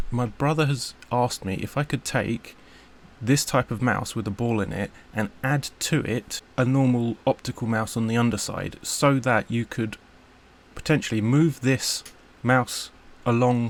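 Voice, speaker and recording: Fairly slow speech from a man in a British accent. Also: medium pitch for a man, fairly even intonation. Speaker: electronics hobbyist maker. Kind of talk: unscripted build log talk to camera. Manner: stuttering, hesitant.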